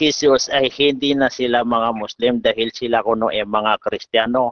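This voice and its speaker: The intonation stays fairly even as a man talks. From Philippines. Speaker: Islamic teacher (ustad). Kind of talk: formal religious debate. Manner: halting, many filler sounds. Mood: argumentative, earnest. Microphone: video call.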